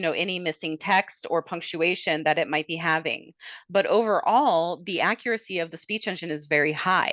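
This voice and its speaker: A woman speaks at a moderate pace with a medium pitch. She has an unremarkable speaking voice and ordinary pitch variation. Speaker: software product demonstrator. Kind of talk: product demo webinar. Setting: webinar.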